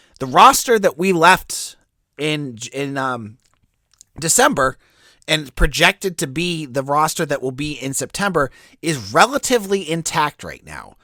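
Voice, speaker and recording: The voice has an American accent and a bright, sharp tone with big swings in loudness. The recording is very clean, with a silent background. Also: man. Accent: Boston accent, comes and goes. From Boston area. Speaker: sports podcast host. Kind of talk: sports podcast commentary. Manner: casual, conversational.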